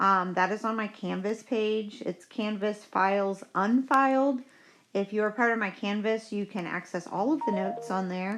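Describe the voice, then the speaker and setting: A woman in a normal speaking voice, medium in pitch with ordinary variation, at a moderate pace. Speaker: chemistry teacher. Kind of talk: tutorial. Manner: casual, upbeat.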